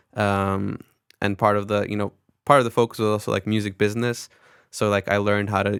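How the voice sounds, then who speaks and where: In an American accent, a man speaks very fast at a fairly low pitch. The sound is dry and close with no echo, on a very clean recording with a silent background. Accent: American-sounding, little foreign. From Netherlands, American expat school. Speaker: record label executive. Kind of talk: interview, casual chat. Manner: casual, many fillers.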